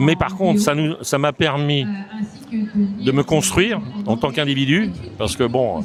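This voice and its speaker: A man's fairly high voice with very wide pitch swings, very even loudness, long, frequent pauses and music in the background. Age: 70s. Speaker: business association president, former top athlete. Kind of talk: podcast interview.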